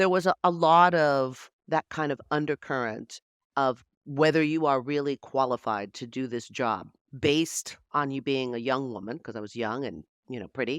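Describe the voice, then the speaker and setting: A woman with a very deep, low pitch speaks at a moderate pace with ordinary pitch variation and big swings in loudness, in a dry, close sound with no echo on a very clean recording with a silent background. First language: Spanish. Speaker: TV news anchor and journalist. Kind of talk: interview.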